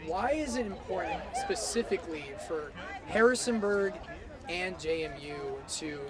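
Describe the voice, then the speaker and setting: Against noticeable background noise, a man speaks fairly slowly in a high pitch, with very wide pitch swings and big swings in loudness. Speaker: student broadcast news reporter and anchor. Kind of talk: TV news reporting.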